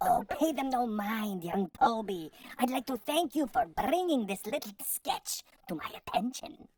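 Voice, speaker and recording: This put-on character voice sits fairly high, swings very widely in pitch and moves at a moderate pace. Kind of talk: mock horror delivery. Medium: audio drama. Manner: formal, courtly.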